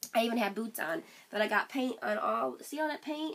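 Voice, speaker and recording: Amid noticeable background noise, a woman with a fairly high pitch sounds animated, her pitch swinging very widely. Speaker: vlogger. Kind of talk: casual vlog talk to camera. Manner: chatty, animated.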